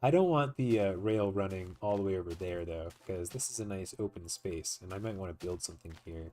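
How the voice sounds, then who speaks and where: Very deep and low, a man's voice moves at a fairly quick pace with hardly any pauses. His pitch variation is ordinary. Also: very clean recording, silent background. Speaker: gaming video creator. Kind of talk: let's play commentary. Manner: casual, hesitant with fillers.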